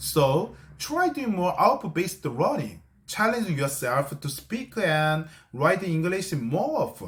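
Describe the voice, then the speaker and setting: A man with a Korean accent talks at a fairly slow pace. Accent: non-native English, Korean. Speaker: English-learning YouTuber. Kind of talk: tutorial. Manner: halting, with self-corrections.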